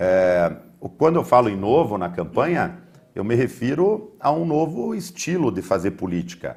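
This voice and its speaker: His pitch swings very widely. The man speaks fairly slowly. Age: 40s. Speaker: mayoral candidate. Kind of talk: political debate. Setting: TV studio. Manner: formal.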